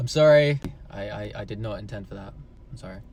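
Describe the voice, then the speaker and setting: A man talks at a fairly quick pace with ordinary pitch variation amid audible room echo. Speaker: vlogger and speaking coach. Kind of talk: casual Q&A vlog. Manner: loud; animated.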